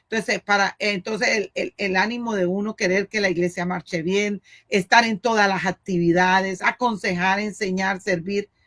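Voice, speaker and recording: Medium in pitch, a woman talks at a moderate pace with hardly any pauses. Her intonation is monotone and flat, and the sound is dry and close with no echo. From Colombia, Cali. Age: 60s. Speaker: pastor's wife and missionary. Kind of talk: interview. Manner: halting.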